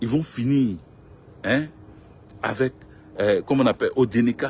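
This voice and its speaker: This man speaks at medium pitch. His pace is moderate. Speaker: political commentator. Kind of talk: live stream monologue.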